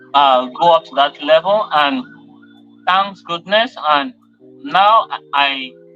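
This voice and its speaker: A man's fairly high voice, very slow, with long, frequent pauses, lively intonation and big swings in loudness over music in the background. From Nigeria. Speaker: actor and businessman. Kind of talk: interview.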